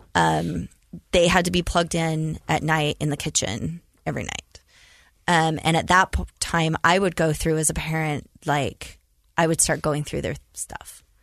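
Vocal fry runs through this fairly slow delivery, with fairly even intonation against a quiet background. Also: woman, very deep, low pitch for a woman. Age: 40s. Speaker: podcast host, state first lady. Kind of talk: casual interview.

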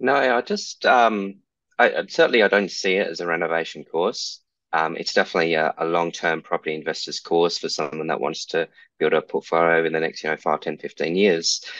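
Someone with an Australian accent talks at a fairly quick pace, the sound dry and close with no echo against a quiet background. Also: man. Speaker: property investor and blogger. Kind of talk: interview, casual chat.

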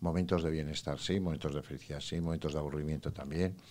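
The audio is very clean, and the background is silent. A man does the talking. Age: 60s. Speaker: psychologist. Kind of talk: interview.

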